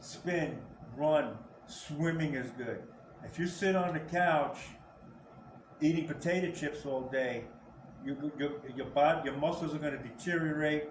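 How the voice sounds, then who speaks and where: A man with a fairly high voice speaks with long, frequent pauses, his words carrying audible room echo over noticeable background noise. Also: fairly even intonation, fairly slow pace. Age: 60s. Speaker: senior fitness trainer. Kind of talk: casual talk to camera. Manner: halting, repeats words.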